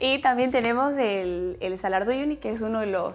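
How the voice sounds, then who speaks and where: A woman talks in a plain, everyday voice at a fairly high pitch. Her pace is fairly quick, with ordinary pitch variation. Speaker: beauty pageant contestant. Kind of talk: interview answers.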